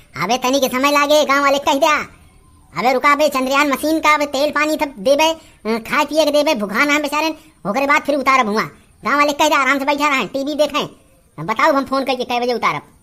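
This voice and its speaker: A woman speaks in a cartoonish character voice, high-pitched and fairly quick. Her intonation stays fairly even. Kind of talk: comic overacting. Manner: boastful, bossy, rustic.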